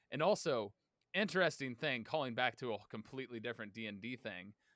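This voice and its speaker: This man speaks loudly and fairly quickly at a medium pitch, with ordinary pitch variation and a bright, sharp tone. The recording is very clean and dry, close with no echo, over a silent background. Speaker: tabletop game player. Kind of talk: casual chat.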